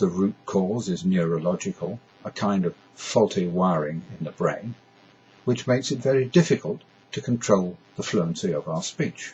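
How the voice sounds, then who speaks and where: Speaking at a fairly slow pace, the voice carries lively intonation. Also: man. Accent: British. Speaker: stammering awareness advocate. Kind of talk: scripted talk to camera. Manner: halting.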